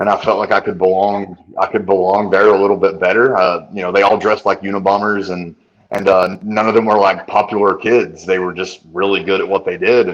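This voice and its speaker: A man with a Southern US accent, fairly low in pitch, at a fairly quick pace in a monotone, flat delivery. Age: 30s. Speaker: nutritionist. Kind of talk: podcast interview.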